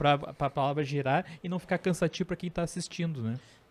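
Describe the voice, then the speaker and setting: The recording is very clean, its background silent. A man speaks at a fairly quick pace, his pitch varying in an ordinary way. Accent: Rio Grande do Sul. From southern Brazil (Rio Grande do Sul). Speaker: podcast host. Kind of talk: casual chat.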